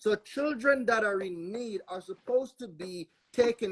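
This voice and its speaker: Fairly slow speech in a Jamaican accent. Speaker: panelist on legal topics. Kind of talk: panel discussion.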